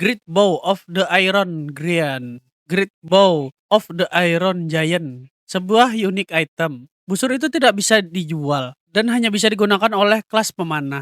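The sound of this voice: Recorded very clean with a silent background and a dry, close sound with no echo, a man speaks at a fairly slow pace in a nasal, fairly bright, high-pitched voice with lively intonation.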